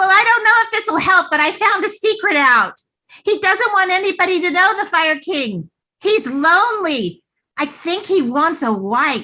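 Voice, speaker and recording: The voice is extremely high in pitch. It is a put-on character voice. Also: moderate pace. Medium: stage play. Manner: breathless, hurried.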